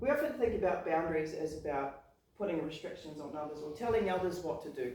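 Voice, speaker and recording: Speaking very fast in a New Zealand accent, a woman with a fairly low pitch uses lively intonation and big swings in loudness, with audible room echo and noticeable background noise. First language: not English. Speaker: public speaking club member. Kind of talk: prepared speech.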